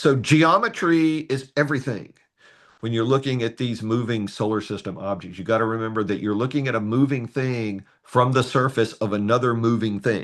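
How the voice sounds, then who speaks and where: A man at a medium pitch with a slight North Carolina accent, over a quiet background. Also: ordinary pitch variation, moderate pace. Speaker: astronomy workshop presenter. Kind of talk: tutorial. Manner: conversational, with hesitations.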